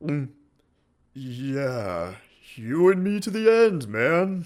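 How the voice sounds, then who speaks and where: A man's cartoonish character voice, fairly high in pitch, with very wide pitch swings and a very slow pace. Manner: casual, joking.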